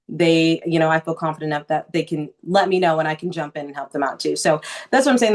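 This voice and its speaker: Very deep, low female pitch carried on fairly even intonation. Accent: American. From Southern California. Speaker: news anchor. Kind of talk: interview answer.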